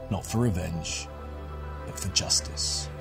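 Clear music plays in the background as a man talks at a fairly slow pace. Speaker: narrator of war-zone documentaries and game stories. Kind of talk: dramatic story narration for a video game promo. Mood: gritty, intense, dramatic. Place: studio.

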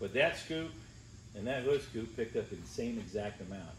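Audible room echo and light background noise surround a man speaking at a moderate pace with ordinary pitch variation. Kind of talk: interview answer. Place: workshop. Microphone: phone near.

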